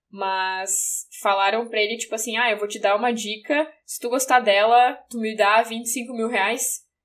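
A woman talks at a fairly high pitch and a fairly slow pace, with ordinary pitch variation. She has a normal speaking voice. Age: 20s. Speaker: English teacher and journalist. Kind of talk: casual chat.

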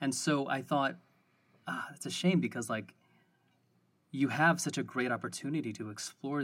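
In an ordinary speaking voice, a man talks at a moderate pace with ordinary pitch variation. The recording is very clean, with a silent background. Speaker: podcast co-host and D&D player. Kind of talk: casual interview chat.

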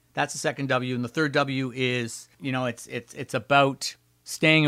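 With an ordinary speaking voice, a man talks at a moderate pace and medium pitch with a Canadian accent and fairly even intonation. The sound is dry and close with no echo, in a very clean recording with a silent background. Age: 60s. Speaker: emergency doctor and radio host. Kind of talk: interview conversation.

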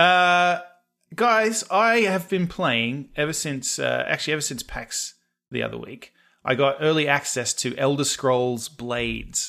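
A man with a fairly high pitch, bright, sharp tone and lively intonation at a fairly slow pace, on a very clean recording with a silent background. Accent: Australian. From Australia. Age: 30s. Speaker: podcast co-host. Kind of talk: casual chat.

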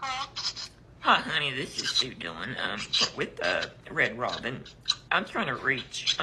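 In a raspy, put-on character voice, someone talks at a fairly slow pace with long, frequent pauses over clear background noise.

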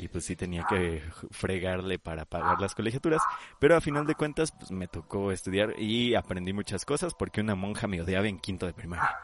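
With a Mexican accent, a man speaks at a fairly quick pace, his fairly low voice rising and falling in lively intonation. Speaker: podcast host, architect. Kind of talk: casual chat.

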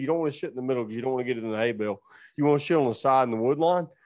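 A man speaks with a Southern US accent against a quiet background. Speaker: farmer. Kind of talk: casual chat. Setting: studio.

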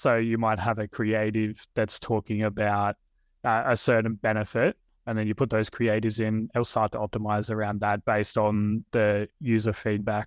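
A man's fairly low, monotone, flat voice with an Australian accent at a moderate pace, dry and close with no echo, against a quiet background. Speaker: Meta ads agency owner. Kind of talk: casual interview chat.

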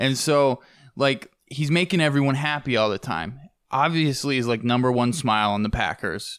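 On a very clean recording with a silent background, a man with a normal speaking voice talks at a moderate pace, medium in pitch with ordinary pitch variation. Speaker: podcast producer. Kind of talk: casual chat.

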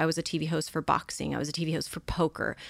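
In a very clean recording with a silent background, a woman with a Californian accent talks at a very fast pace in a bright, sharp tone. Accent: Californian American. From Los Angeles area, California. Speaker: social media influencer and model. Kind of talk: casual interview chat.

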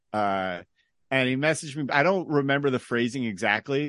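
A man with an unremarkable speaking voice and an American accent, medium pitch, ordinary pitch variation and moderate pace, against a quiet background. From San Jose, California. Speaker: comedian. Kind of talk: casual chat.

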